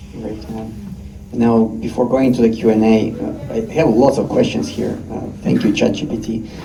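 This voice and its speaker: Noticeable background noise and audible room echo around a man's medium-pitched voice with ordinary pitch variation. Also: moderate pace. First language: not English. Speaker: panel moderator. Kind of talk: panel moderation. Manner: hesitant, many fillers.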